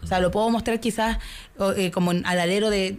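A woman at a fairly quick pace, in a normal speaking voice with ordinary pitch variation. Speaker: film festival producer. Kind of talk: radio interview.

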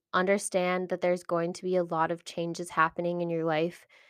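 A woman is heard in a dry, close sound with no echo. The recording is very clean, with a silent background. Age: 20s. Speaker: podcast host, human design reader. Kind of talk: casual monologue.

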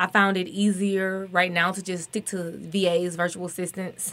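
A woman with a Southern US accent speaks at medium pitch in a monotone, flat intonation. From Alabama. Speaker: marketing entrepreneur. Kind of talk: radio panel discussion. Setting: studio.

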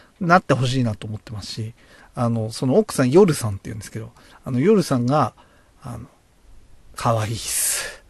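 A man speaks somewhat breathily, with big swings in loudness and long, frequent pauses. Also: medium pitch for a man, ordinary pitch variation, dry, close sound with no echo. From Japan, Tochigi (Oyama). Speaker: beer podcast host. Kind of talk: casual solo talk. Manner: hesitant, many fillers.

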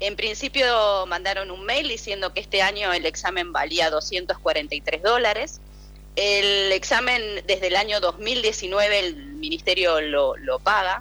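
A woman with a Rioplatense accent, very slow pace and lively intonation, over noticeable background noise. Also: medium pitch for a woman. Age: 50s. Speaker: parent of a student. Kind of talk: phone interview. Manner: halting.

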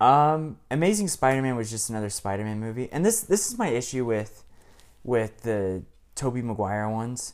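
Moderate pace and ordinary pitch variation in a normal speaking voice from a man, medium in pitch. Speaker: prospective co-host. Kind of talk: casual chat.

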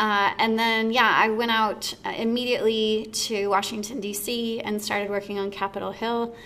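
A woman speaks at a fairly slow pace in a monotone, flat way. Noticeable background noise and audible room echo surround her. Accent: American. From Texas, Dallas. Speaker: fitness studio owner and podcast host. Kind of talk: casual interview chat. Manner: casual, many fillers (like, um).

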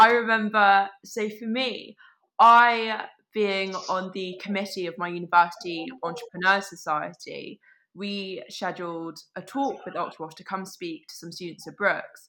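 A woman's bright, sharp voice at medium pitch, fairly slow, with ordinary pitch variation and big swings in loudness. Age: 20s. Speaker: university student and startup growth executive. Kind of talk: podcast interview.

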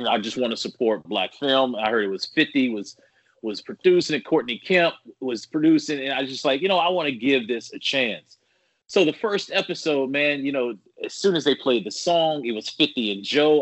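A man's fairly high-pitched voice with lively intonation, a plain, everyday voice. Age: 40s. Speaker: sports broadcaster. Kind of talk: casual interview.

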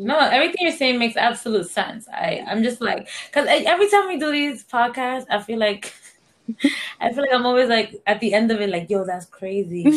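At a fairly quick pace, a woman speaks with a high pitch. Her voice moves in very wide pitch swings. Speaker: podcast host. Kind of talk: casual chat. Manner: casual, laughs often.

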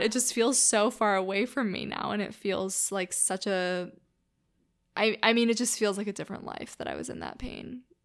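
Recorded very cleanly over a silent background, a woman with a bright, sharp tone and vocal fry talks at a moderate pace and medium pitch, with ordinary pitch variation and big swings in loudness. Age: 20s. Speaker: podcast host. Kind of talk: solo podcast monologue. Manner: casual, chatty with filler words.

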